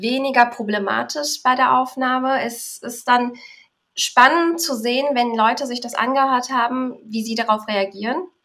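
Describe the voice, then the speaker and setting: A woman's high-pitched voice with a bright, sharp tone and ordinary pitch variation. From Berlin, Germany. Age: 20s. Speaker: podcaster. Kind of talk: casual interview.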